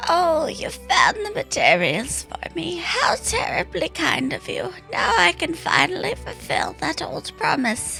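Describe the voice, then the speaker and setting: In a put-on character voice, a female-sounding speaker talks fairly slowly at a high pitch over clear background music. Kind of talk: polite, gracious.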